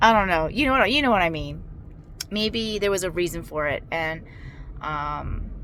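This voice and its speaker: Leaving long, frequent pauses, a woman speaks at medium pitch in a bright, sharp tone amid audible room echo. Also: lively intonation, moderate pace. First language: not English. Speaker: vlogger sharing surgery recovery. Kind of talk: casual video diary. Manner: halting, many fillers.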